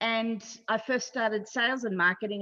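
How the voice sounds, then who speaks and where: With an Australian accent, the voice has a bright, sharp tone, ordinary pitch variation and a moderate pace over a quiet background. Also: woman. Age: 60s. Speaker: online marketing consultant. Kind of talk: podcast interview.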